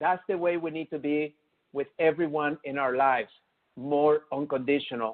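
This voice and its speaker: Using a non-native accent, a man speaks at a moderate pace with a fairly high pitch. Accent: noticeable foreign accent, won't go away. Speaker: chiropractor and motivational speaker. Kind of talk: webinar presentation. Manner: animated.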